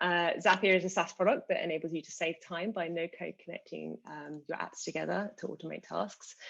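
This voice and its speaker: A woman with a British accent at a fairly quick pace. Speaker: customer success manager. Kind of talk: panel webinar discussion.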